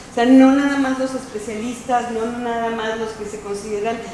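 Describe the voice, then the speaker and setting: Light background noise and audible room echo accompany speech at a moderate pace. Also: woman. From Mexico. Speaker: professor. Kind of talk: self-introduction. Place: meeting room. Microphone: camera far.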